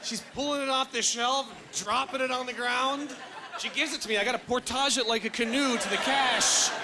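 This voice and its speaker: Extremely high-pitched male voice, raised and projected, at a fairly quick pace amid noticeable background noise. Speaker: stand-up comedian. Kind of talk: stand-up comedy set. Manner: energetic.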